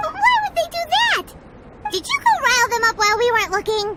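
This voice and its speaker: This cartoonish character voice is extremely high and squeaky. It moves at a fairly quick pace. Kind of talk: cartoonish sidekick. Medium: machinima. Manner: chatty, bubbly.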